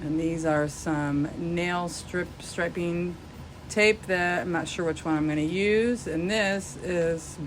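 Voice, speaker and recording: Very slowly and with fairly even intonation, a woman speaks in a fairly low pitch, with audible room echo around her. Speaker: craft tutorial youtuber. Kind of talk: tutorial. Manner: casual.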